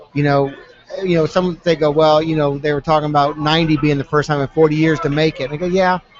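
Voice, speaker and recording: With noticeable background noise behind him, a man speaks very fast in a fairly high, flat, monotone voice. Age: 50s. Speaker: former pro soccer player. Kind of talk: casual chat. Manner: halting.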